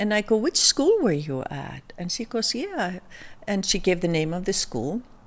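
A woman with an Icelandic accent talks at a moderate pace, her pitch swinging very widely. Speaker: fashion designer. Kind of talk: casual chat. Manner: halting.

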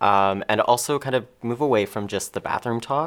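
Speaking with a Canadian accent, a man with an unremarkable speaking voice keeps a medium pitch, ordinary pitch variation and a moderate pace. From Ontario, Canada (Mississauga). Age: 20s. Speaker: filmmaker and patient advocate. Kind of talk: interview.

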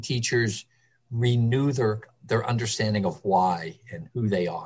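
A man's somewhat breathy, medium-pitched voice with ordinary pitch variation, an American accent and a moderate pace. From Philadelphia, Kensington. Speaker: early childhood center director. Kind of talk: interview.

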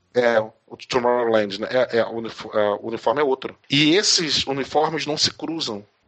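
The voice is a normal speaking voice at a fairly slow pace. Its pitch varies in an ordinary way. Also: man, medium pitch for a man. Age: 40s. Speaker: educator. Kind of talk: interview.

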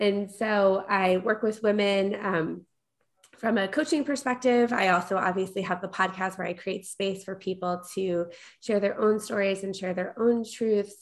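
Against a quiet background, a woman with an unremarkable speaking voice and an American accent talks at a moderate pace, her medium pitch moving with fairly even intonation. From New York, Long Island. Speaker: corporate leader and coach. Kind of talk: interview.

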